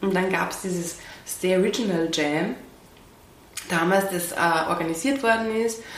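A fairly slow delivery with long, frequent pauses and ordinary pitch variation, plus audible room echo and noticeable background noise. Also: woman, medium pitch for a woman. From Upper Austria. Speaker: dancer and choreographer. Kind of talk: interview. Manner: hesitant, many fillers.

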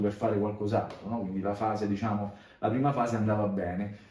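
A man speaks at a very fast pace amid audible room echo and noticeable background noise. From Italy, Rome. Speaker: bassist and composer. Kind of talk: casual interview.

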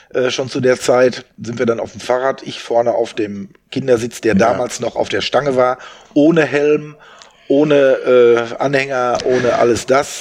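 A man speaks at a fairly slow pace. There is noticeable background noise behind him. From Westphalia, Germany (Soest). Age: 60s. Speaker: event organizer. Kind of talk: casual interview.

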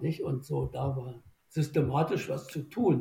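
Vocal fry runs through a man's dark, mellow tone as he talks at a very slow pace. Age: 80s+. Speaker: boat designer, former rower. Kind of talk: interview. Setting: remote recording.

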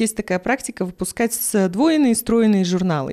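This woman talks with a fairly high pitch. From Kazakhstan. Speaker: creative industries manager. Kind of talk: casual chat.

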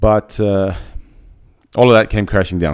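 The man's voice is fairly low and dark and mellow in tone, with ordinary pitch variation. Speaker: podcast host and motivational speaker. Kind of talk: pep talk. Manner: animated, motivational, driven.

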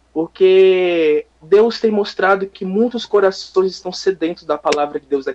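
Hardly any pauses break up the speech. It unfolds at a fairly slow pace. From São Paulo coast, Brazil (Guarujá). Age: 20s. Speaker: missionary. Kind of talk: interview.

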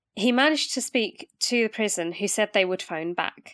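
Dry and close with no echo, a plain, everyday voice shows ordinary pitch variation. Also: woman, very clean recording, silent background. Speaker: true crime podcast host. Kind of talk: casual chat.

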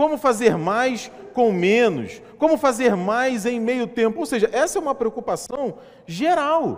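A man with an extremely high pitch speaks at a fairly slow pace with lively intonation. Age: 30s. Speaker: pastor. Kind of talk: sermon.

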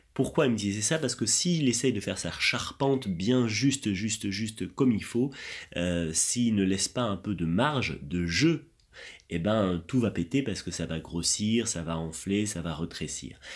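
A man with an unremarkable speaking voice talks at a fairly low pitch and a fairly slow pace. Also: lively intonation. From France. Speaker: laughter yoga teacher. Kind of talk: interview.

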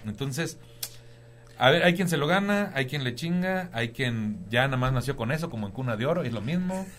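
A man with a fairly high pitch and lively intonation at a moderate pace, with audible room echo. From Tampico, Tamaulipas, Mexico. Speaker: stand-up comedian. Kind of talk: casual chat.

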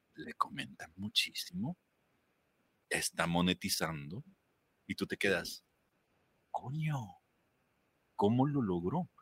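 A man speaks very slowly at a medium pitch, his voice swinging very widely up and down, with long, frequent pauses and a dry, close sound with no echo. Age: 40s. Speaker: podcast producer and voice coach. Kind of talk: interview, advice on voice and content.

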